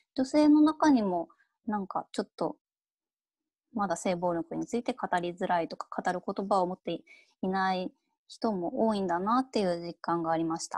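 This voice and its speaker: Against a quiet background, a woman speaks with lively intonation in a dry sound with no echo. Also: moderate pace. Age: 30s. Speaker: freelance writer; keynote speaker. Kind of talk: keynote lecture. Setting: video call. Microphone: earbuds.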